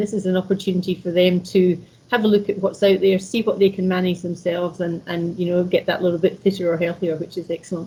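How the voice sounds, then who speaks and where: A woman's medium-pitched, somewhat breathy voice with a dark, mellow tone, monotone, flat intonation and a fairly quick pace. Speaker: chief executive of a leisure organisation. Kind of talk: webcast interview. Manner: hesitant, many fillers.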